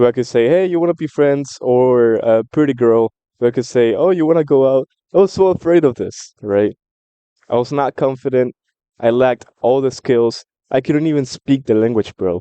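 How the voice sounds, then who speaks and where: Speaking with a Spanish accent, a man at medium pitch talks at a moderate pace in an animated tone with ordinary pitch variation. The sound is dry and close with no echo. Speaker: book commentary vlogger. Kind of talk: casual monologue.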